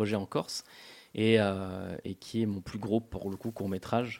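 This man talks in a fairly low, monotone voice with flat intonation, on a very clean recording with a silent background. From Corsica, grew up in a village. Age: 30s. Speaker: film director. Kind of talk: radio interview. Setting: radio studio. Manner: halting, repetitive.

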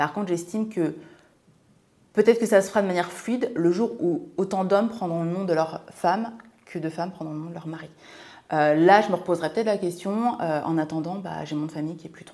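Fairly low in pitch, a woman's voice has a dark, mellow tone. She talks at a fairly quick pace with big swings in loudness. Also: ordinary pitch variation. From France, Seine-et-Marne (Martinican family). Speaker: lifestyle and money coach, podcast co-host. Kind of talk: casual chat.

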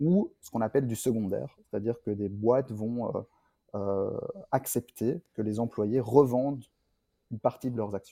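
The voice has a dark, mellow tone and a fairly slow pace with ordinary pitch variation. The sound is dry and close, with no echo. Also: man. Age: 30s. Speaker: startup founder and CEO. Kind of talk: interview. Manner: hesitant, many fillers and repeats.

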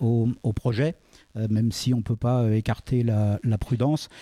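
A man with a dark, mellow tone and medium pitch speaks with fairly even intonation, the sound dry and close with no echo on a very clean recording with a silent background. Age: 50s. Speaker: entrepreneur. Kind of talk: talk at a public event. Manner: halting.

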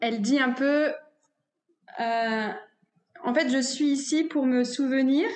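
A woman with a high pitch and fairly even intonation. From northern France, near Dunkirk. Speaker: cacao ceremony facilitator and masseuse. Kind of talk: interview conversation. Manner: halting, many fillers.

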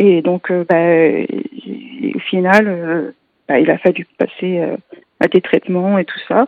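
A woman with a fairly low pitch speaks very slowly, with long, frequent pauses. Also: ordinary pitch variation. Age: 30s. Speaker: patient with a genetic disease. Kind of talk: testimony. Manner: halting.

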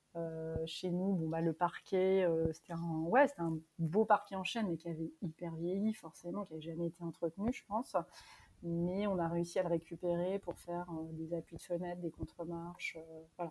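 A woman's dark, mellow tone at fairly low pitch, with fairly even intonation and a moderate pace. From Normandy, France. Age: 30s. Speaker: guesthouse owner. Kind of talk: interview. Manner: hesitant.

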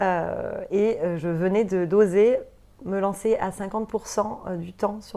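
A woman with a dark, mellow tone speaks at a medium pitch with fairly even intonation. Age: 30s. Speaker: entrepreneur, former nursery director. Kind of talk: interview. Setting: studio.

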